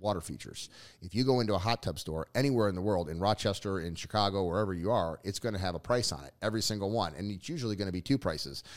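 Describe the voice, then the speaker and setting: A man with a very deep, low pitch talks at a very fast pace in an energetic tone with ordinary pitch variation. The recording is very clean, with a silent background. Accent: New Jersey. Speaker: pond builder and business owner. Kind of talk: casual interview chat.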